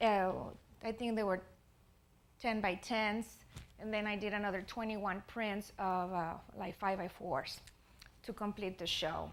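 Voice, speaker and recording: A woman speaks with a Spanish accent at medium pitch. Her pace is fairly slow and her intonation fairly even. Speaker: artist. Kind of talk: presentation. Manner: halting.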